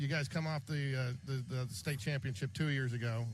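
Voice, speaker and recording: Somewhat breathy, a man speaks at a very fast pace and a medium pitch. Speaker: sports radio broadcaster. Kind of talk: live sports radio play-by-play and interview questions.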